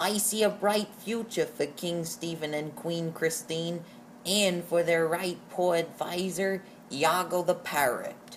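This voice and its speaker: Over clear background noise, a female-sounding put-on character voice talks at a fairly slow pace and a middle pitch. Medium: read story. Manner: chattering.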